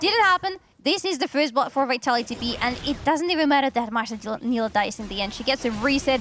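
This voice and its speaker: Over noticeable background noise, someone with a non-native accent talks very fast with lively intonation and hardly any pauses. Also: woman, high pitch for a woman. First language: not English. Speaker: esports caster. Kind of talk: live commentary.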